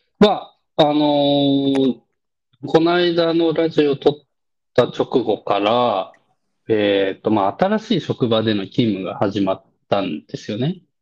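At a fairly slow pace, a man talks in a fairly high voice with very wide pitch swings. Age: 30s. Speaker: podcast co-host. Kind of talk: casual chat.

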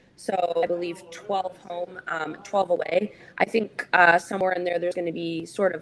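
Over noticeable background noise, a woman with a Canadian accent talks at a moderate pace in a fairly low pitch with monotone, flat intonation. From St. Catharines, Ontario, Canada. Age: 20s. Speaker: professional hockey player. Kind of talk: interview. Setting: video call.

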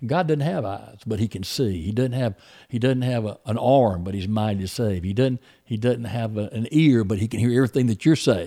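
Dark, mellow tone at a fairly quick pace. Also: man, medium pitch for a man, ordinary pitch variation, very clean recording, silent background. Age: 60s. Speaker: preacher. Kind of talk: casual chat. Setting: youth camp.

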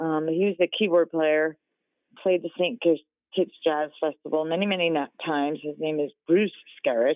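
A woman talks with an American accent and a very deep, low pitch. Her pace is moderate and her intonation fairly even. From New Jersey. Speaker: singer and former photo department worker. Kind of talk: interview.

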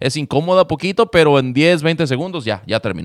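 In a fairly high-pitched, unremarkable speaking voice, a man talks with lively intonation, the sound dry and close with no echo. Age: 40s. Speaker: podcast host, former radio host. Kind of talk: casual chat. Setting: remote recording.

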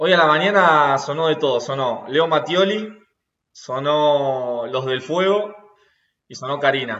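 A man with a Rioplatense accent speaks very slowly in a fairly high voice with ordinary pitch variation. His loudness swings widely, and the room echo is audible. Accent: Argentine Rioplatense Spanish. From Argentina, Rosario. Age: 20s. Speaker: rugby player. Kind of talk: interview. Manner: hesitant, repeats words.

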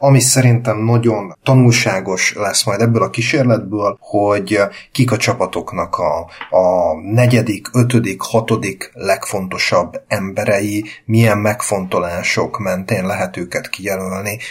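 A man talks very slowly at a fairly low pitch with ordinary pitch variation. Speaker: basketball podcast host. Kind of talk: casual chat.

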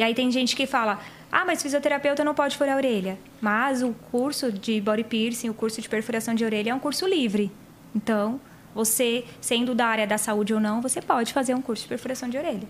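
High-pitched, a woman talks at a fairly quick pace. Her pitch varies in an ordinary way. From Paraná, Brazil. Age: 30s. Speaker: body piercer and physiotherapist. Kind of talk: casual chat. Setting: studio.

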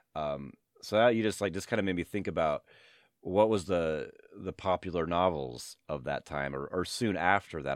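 Recorded with a dry, close sound with no echo, a man with an American accent speaks in a very deep, low pitch with vocal fry and ordinary pitch variation. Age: 40s. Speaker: podcast host and high school teacher. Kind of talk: casual interview. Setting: remote call. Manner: halting, many fillers.

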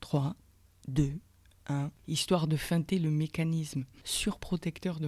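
A woman speaks with a very deep, low pitch and fairly even intonation, her voice dark, mellow, warm and somewhat breathy. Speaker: podcast host, personal development coach. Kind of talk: guided meditation. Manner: slow, soft, calming, with pauses between instructions; warm, intimate, addressing listener as tu.

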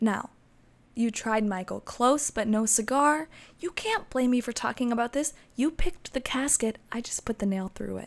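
Her voice sits high in pitch, and the woman varies it in an ordinary way. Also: moderate pace. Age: 20s. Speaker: podcast host. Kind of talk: casual monologue. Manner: animated.

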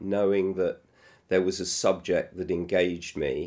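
Speaking at a fairly slow pace, a man talks with a British accent. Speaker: television producer and musical creator. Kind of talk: interview conversation. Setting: room near theatre. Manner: halting.

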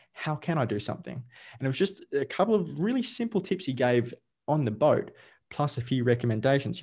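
With an Australian accent, a man speaks at a fairly quick pace in a dark, mellow tone with vocal fry. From Australia, Victoria. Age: 30s. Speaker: life coach. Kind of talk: casual interview chat. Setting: video call.

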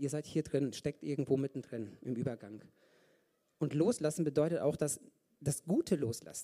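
His tone is dark and mellow. The man's pitch is fairly high and his pace moderate. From Germany, Ostwestfalen. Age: 40s. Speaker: lay preacher, physiotherapist. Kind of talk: sermon. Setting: church service.

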